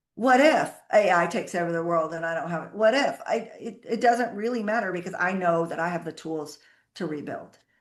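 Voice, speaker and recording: Against a quiet background, a woman with a plain, everyday voice talks fairly quickly at medium pitch with lively intonation. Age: 60s. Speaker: accounting firm founder. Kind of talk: interview.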